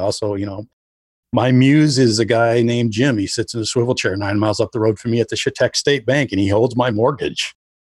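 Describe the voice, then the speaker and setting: Against a quiet background, a man with an Upper Midwest accent and medium pitch talks at a fairly quick pace with ordinary pitch variation in a dry, close sound with no echo. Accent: Upper Midwest American. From northern Wisconsin. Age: 50s. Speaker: writer. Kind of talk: casual chat. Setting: remote interview from home.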